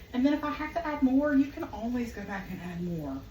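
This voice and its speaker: A woman with a Southern US accent talks at a moderate pace. Audible room echo and noticeable background noise surround her. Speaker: home cook vlogger. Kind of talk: cooking tutorial. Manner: casual, chatty.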